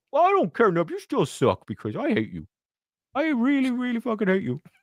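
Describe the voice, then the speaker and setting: In a whiny put-on character voice, a man speaks at an extremely high pitch with very wide pitch swings and a fairly quick pace, in a dry, close sound with no echo against a quiet background. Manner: whiny, hateful, mocking.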